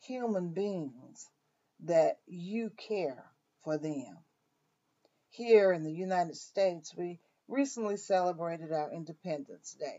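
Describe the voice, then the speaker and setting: This woman speaks with a Southern US accent and a fairly low pitch. Her delivery is very slow, with lively intonation. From US South, Mississippi. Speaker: minister. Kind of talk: devotional.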